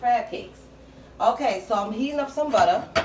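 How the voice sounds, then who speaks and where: A woman is speaking with audible room echo. Noticeable background noise runs underneath. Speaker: home cooking channel host. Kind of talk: cooking tutorial. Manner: casual, with many fillers.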